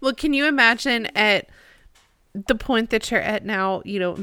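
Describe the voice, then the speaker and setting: In a very clean recording with a silent background, a woman talks at a moderate pace in a bright, sharp tone with ordinary pitch variation. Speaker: co-host. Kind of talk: casual discussion podcast.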